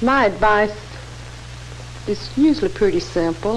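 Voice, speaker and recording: With noticeable background noise, a woman talks at a medium pitch. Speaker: cosmetician. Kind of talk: scripted dialogue in an instructional film.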